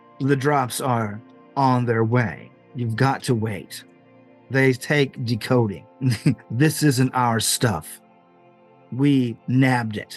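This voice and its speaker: A man's robotic, put-on character voice at medium pitch, very slow with long, frequent pauses, over faint music in the background. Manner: flat, mechanical.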